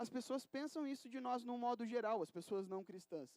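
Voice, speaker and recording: A man's extremely high voice with ordinary pitch variation and a dry, close sound with no echo. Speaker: preacher. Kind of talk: sermon. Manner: fast; casual, hesitant with fillers.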